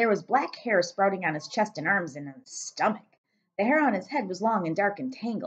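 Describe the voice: In a quiet background, the speaker does plain reading aloud with lively intonation.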